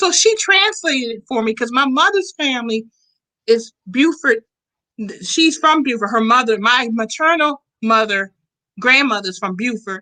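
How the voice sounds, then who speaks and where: In an American accent, a woman with a bright, sharp tone speaks at a moderate pace in a high pitch, making very wide pitch swings. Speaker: show host. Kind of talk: interview.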